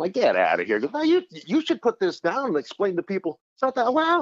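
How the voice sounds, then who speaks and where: A man talks at a very fast pace, his pitch swinging very widely. The sound is dry and close, with no echo. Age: 60s. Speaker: author. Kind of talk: interview. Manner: halting.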